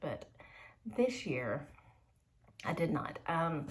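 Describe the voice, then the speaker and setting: A woman speaks with a Southern accent. Her voice sits fairly low. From Georgia, US South. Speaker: homeschooling mom and YouTuber. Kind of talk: unboxing video.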